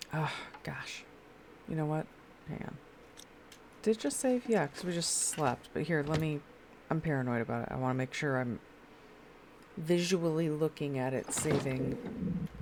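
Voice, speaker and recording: This woman is soft-spoken, with a very deep, low pitch and lively intonation. She talks at a moderate pace, leaving long, frequent pauses. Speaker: live streamer. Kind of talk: casual gaming stream chat. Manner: quiet, soft-spoken.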